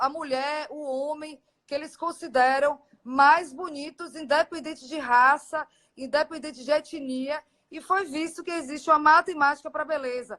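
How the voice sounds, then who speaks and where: A woman's raised, projected voice, high-pitched with a bright, sharp tone, fairly even intonation and a fairly slow pace. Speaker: aesthetic doctor. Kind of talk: live stream Q&A. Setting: Instagram live video.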